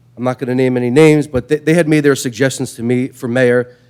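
A man talks with an American accent at a medium pitch. His intonation stays fairly even. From New York. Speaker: public commenter at city meeting. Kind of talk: public comment. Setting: city council meeting.

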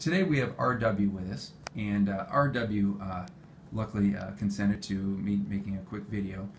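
Somewhat breathy, a man speaks at a fairly low pitch with ordinary pitch variation. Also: moderate pace. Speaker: pain management physician. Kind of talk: clinical patient interview. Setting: medical clinic.

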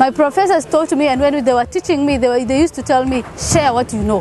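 Her voice high in pitch, a woman comes through with dry sound and no echo amid noticeable background noise. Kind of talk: interview answer. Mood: happy, proud. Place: open country.

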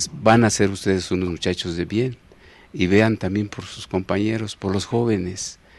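Speaking at a moderate pace with a Mexico City accent, a man has a fairly low pitch, fairly even intonation and big swings in loudness, and the sound is dry with no echo. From Mexico City, Iztapalapa. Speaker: elderly local resident sharing memories, former farmer; interview guest. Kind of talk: TV interview, oral history. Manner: halting, many fillers and repetitions. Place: studio. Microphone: handheld.

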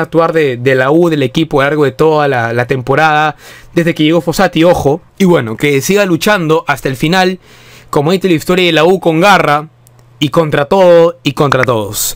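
An animated tone with ordinary pitch variation. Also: man. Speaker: football fan youtuber. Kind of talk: casual video commentary.

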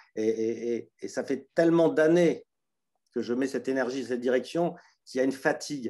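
The tone of this male voice is dark and mellow. Behind it, the background is quiet. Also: medium pitch for a man, ordinary pitch variation, moderate pace. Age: 60s. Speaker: participant. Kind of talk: testimony. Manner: halting. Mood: earnest, weary, searching. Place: home room. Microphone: video call.

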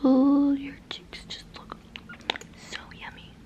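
A woman whispers. Her pace is very slow. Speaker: ASMR creator. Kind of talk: whispery roleplay talk to viewer. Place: home room. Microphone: phone near.

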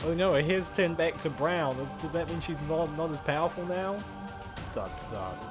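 A woman talks at a fairly slow pace with low pitch and ordinary pitch variation, clear music in the background.

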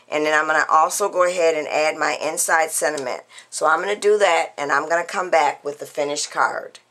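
Using a normal speaking voice, the speaker moves at a fairly quick pace with ordinary pitch variation. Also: woman. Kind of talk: tutorial.

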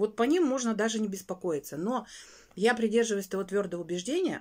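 A woman talks at a very fast pace in an animated tone with lively intonation against a quiet background. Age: 40s. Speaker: weight-loss vlogger. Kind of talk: casual vlog monologue. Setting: home bedroom. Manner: chatty, animated. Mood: earnest, slightly exasperated. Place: home room. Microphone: phone near.

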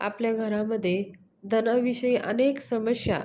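This woman's fairly high voice stays monotone and flat amid noticeable background noise. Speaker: devotional YouTuber. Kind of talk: devotional tutorial.

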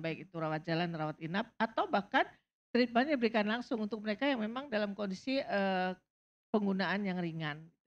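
Her voice is a plain, everyday voice at medium pitch. The woman's intonation is lively. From Indonesia. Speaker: substance abuse doctor; panel expert. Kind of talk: panel talk. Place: stage. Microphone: handheld.

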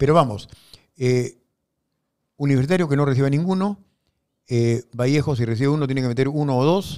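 A man speaks at a fairly quick pace with a dark, mellow tone and fairly high pitch, his pitch varying in an ordinary way. Long pauses come often, and the background is quiet. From Peru. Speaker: football pundit; panelist. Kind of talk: casual sports talk show. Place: studio. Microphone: studio mic.

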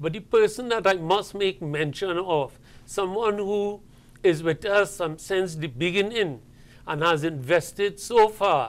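The man's pitch varies in an ordinary way. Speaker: guest. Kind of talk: interview answer. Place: studio. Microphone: lapel.

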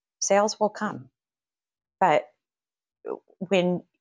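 Against a quiet background, a woman speaks with an American accent. Her pace is fairly slow and her intonation fairly even. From Kansas, then northern Virginia. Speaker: real estate agent and team leader; guest. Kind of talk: casual interview. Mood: earnest, warm. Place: office.

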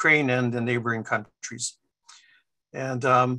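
Against a quiet background, a man talks in a flat monotone. His tone is bright and sharp. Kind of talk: lecture. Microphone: video call.

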